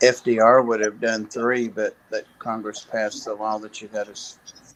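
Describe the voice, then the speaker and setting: A man speaks at a fairly slow pace. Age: 60s. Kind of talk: casual chat.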